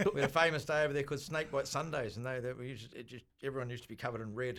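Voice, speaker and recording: A man of medium pitch with a slight New Zealand accent talks very fast, with big swings in loudness. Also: ordinary pitch variation. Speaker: bar owner. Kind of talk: radio interview. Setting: radio studio.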